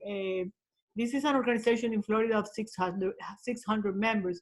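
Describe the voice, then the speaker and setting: A woman speaks with a Colombian accent. Her pitch is fairly high. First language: Spanish. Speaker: social worker. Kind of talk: webinar audience comment. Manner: halting.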